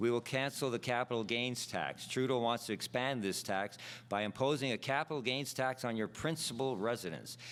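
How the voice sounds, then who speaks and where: In an ordinary speaking voice, a man talks at a medium pitch and fairly quick pace with fairly even intonation and very even loudness, on a very clean recording with a silent background. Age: 60s. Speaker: political candidate. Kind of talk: prepared debate speech. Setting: stage with audience. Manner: formal.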